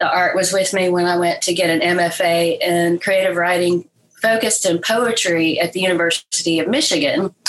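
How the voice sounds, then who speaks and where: A woman with a Southern US accent talks at a moderate pace and a fairly low pitch. Her loudness stays very even, and her intonation is fairly even. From Mississippi, Oxford. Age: 50s. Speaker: artist and creative writing teacher. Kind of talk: interview.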